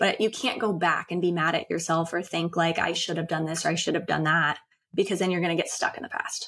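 Speaking with a normal speaking voice, a woman keeps her fairly low pitch on fairly even intonation. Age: 30s. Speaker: podcast host and founder of a women's empowerment brand. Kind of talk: interview.

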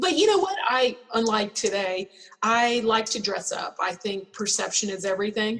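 Over noticeable background noise, a woman with a fairly high voice speaks at a moderate pace and with ordinary pitch variation. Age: 50s. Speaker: spa business founder. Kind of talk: interview.

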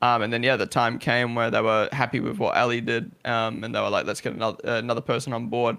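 Talking at a very fast pace, a man with a slight New Zealand accent has a bright, sharp tone and fairly even intonation. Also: medium pitch for a man. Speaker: esports content creator and streamer. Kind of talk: casual interview chat.

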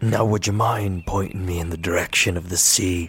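A put-on character voice from a man, very deep and low in pitch, raspy, at a moderate pace. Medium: audio drama. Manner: weary and guarded, then pleading.

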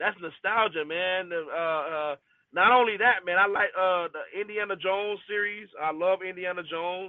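A man talks at a high pitch and a moderate pace. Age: 30s. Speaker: sports podcast guest. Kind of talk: casual chat. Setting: in a car. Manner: animated. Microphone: phone via car Bluetooth.

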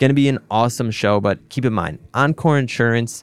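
Medium pitch from a man, with ordinary pitch variation. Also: very clean recording, silent background. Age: 20s. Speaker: podcast host and business owner. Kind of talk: solo podcast monologue, upbeat radio-DJ style patter with sponsor plugs. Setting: studio. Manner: energetic, upbeat, fast and chatty, warm and direct, like a radio DJ.

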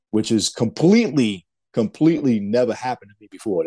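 A man speaks at a fairly low pitch with a dark, mellow tone.

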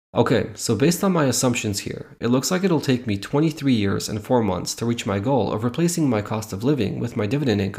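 A man talks at a fairly quick pace with lively intonation. His voice is somewhat breathy. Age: 30s. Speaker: dividend investing podcaster. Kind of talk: tutorial.

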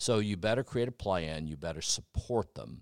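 A man with an American accent speaks at a moderate pace with lively intonation. The sound is dry and close with no echo, in a very clean recording with a silent background. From Tennessee, US. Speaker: physician and researcher. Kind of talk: interview, conversational.

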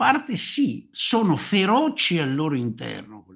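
A man's bright, sharp voice swings very widely in pitch. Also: very clean recording, silent background. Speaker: commentator on China and geopolitics. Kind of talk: conversational interview. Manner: halting, self-interrupting. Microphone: audio cuts out when speaking quietly.

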